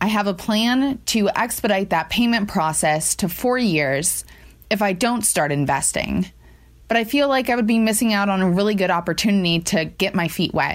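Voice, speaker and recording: A woman with an American accent speaks in an unremarkable speaking voice at medium pitch and a moderate pace. Her intonation is lively while her loudness stays very even. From Ohio, US. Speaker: caller. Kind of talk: recorded listener question.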